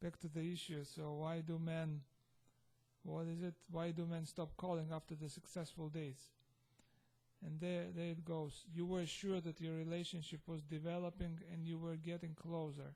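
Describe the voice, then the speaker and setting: A man with a non-native accent speaks at a moderate pace in a high-pitched, dark and mellow tone, with monotone, flat intonation and very even loudness. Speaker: vlogger. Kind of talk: casual vlog monologue. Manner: halting, self-correcting.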